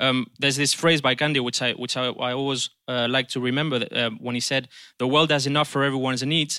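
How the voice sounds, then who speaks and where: Speaking at a very fast pace with a Spanish accent, a man uses a medium pitch and a bright, sharp tone with monotone, flat intonation, in a very clean recording with a silent background. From Spain. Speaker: politician. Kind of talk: panel discussion. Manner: halting.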